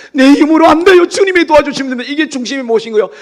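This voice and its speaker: Ordinary pitch variation in a man's voice, with noticeable background noise. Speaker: pastor. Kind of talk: sermon. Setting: church. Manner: fast.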